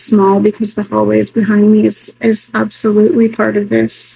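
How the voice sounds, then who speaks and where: A woman whispers quietly. Her pace is fairly quick. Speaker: spiritual tarot vlogger. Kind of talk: solo tarot reading vlog. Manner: quiet, near whisper.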